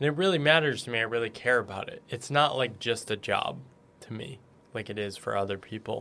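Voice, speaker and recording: A man's bright, sharp tone at a fairly quick pace. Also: medium pitch for a man, ordinary pitch variation. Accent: American. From New England, US. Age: 40s. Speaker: author. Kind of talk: interview. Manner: hesitant, many fillers.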